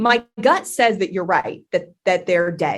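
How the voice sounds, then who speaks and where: Against a quiet background, a woman with an American accent speaks loudly. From Texas, Dallas. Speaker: content strategy lead. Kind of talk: podcast interview. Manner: fast.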